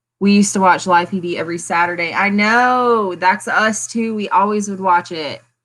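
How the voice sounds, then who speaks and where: In a very clean recording with a silent background, a woman with a Southern US accent talks at a medium pitch with fairly even intonation and hardly any pauses. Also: moderate pace. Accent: picked up a country Southern twang. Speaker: plant channel host. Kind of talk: casual livestream chat. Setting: home livestream.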